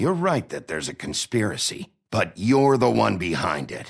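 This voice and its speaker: A man puts on a growling character voice at a medium pitch and a moderate pace, swinging his pitch very widely. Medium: video game. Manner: gruff, terse.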